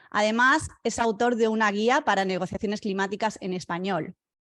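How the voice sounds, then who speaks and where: At a moderate pace, a woman speaks with a plain, everyday voice, a fairly high pitch, and ordinary pitch variation. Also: very clean recording, silent background. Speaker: webinar moderator. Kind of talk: formal introduction.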